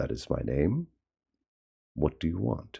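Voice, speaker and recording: A put-on character voice whispers with a husky sound. The pace is fairly slow. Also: man. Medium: read story. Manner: curt and defensive.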